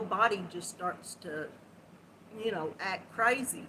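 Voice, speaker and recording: Her intonation is lively as a woman speaks with a fairly high pitch. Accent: Southern US. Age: 60s. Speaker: crochet livestream host. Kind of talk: live stream chat with viewers. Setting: live video stream.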